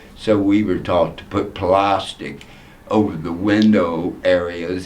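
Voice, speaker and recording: At a very slow pace, a man speaks at a very deep, low pitch with audible room echo. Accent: American. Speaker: former development volunteer. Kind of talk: interview reminiscence. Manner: hesitant with fillers.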